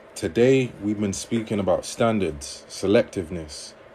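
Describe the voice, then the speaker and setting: A man talks with a London accent. His pace is moderate. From London, England. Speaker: livestreamer and relationship coach. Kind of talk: livestream chat reading viewer comments. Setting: TikTok livestream.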